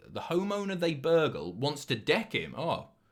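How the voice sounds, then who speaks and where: A man with a southern English accent and vocal fry. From southern England. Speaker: live streamer. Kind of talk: casual chat reading viewer messages.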